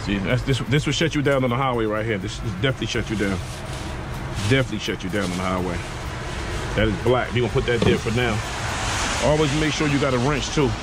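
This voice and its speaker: A man talking at a very fast pace with ordinary pitch variation, dry sound with no echo, and loud background noise. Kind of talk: tutorial. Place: street. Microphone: phone near.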